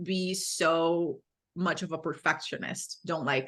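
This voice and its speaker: At a fairly slow pace, a woman with a Brazilian accent speaks in a fairly low pitch with a bright, sharp tone. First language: Portuguese. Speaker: fitness coach for women. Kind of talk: podcast interview.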